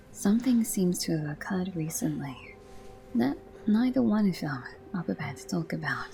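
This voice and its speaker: Soft-spoken delivery at a moderate pace rides over music in the background. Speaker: game theory commentator. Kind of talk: video game theory commentary.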